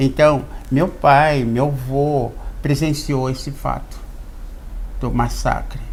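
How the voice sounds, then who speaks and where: A man speaks with a Santa Catarina accent at a medium pitch and with ordinary pitch variation. Noticeable background noise and audible room echo fill the recording. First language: Xokleng (speaking Portuguese). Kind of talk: TV interview. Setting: studio.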